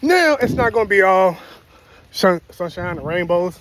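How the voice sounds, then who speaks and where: A man's high-pitched voice with an American accent. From Chicago, US. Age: 40s. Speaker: vlogger. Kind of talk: casual monologue. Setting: outdoors, walking dog. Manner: casual.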